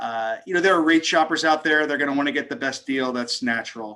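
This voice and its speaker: A man speaks with an American accent. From New York. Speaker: mortgage lender. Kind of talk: Q&A in a video meeting. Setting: video call. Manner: fast.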